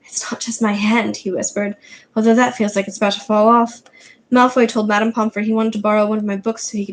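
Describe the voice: The clip is plain reading aloud. The text is simply read out.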